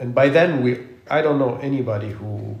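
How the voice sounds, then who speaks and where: Speaking at a moderate pace, a man with an unremarkable speaking voice keeps a medium pitch and ordinary pitch variation. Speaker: podcast host and architect. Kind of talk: casual interview conversation. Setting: studio podcast recording.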